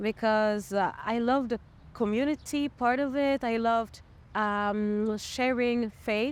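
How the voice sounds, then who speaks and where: Speaking in a French accent, a woman uses a high pitch. Her pace is fairly slow and her intonation fairly even. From Montreal, Quebec. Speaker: singer-songwriter. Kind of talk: interview. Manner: halting.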